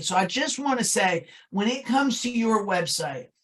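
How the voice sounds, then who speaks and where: A woman speaks with an American accent and lively intonation. Her voice is somewhat breathy. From New Jersey. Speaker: web design and SEO business owner. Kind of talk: webinar presentation. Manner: colloquial.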